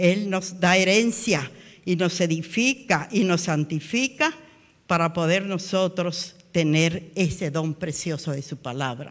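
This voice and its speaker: A woman speaks at a very slow pace, her pitch fairly low. Her intonation is lively, and the background is quiet. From Guatemala. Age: 80s+. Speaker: preacher. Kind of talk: sermon. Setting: church. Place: church. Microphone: handheld.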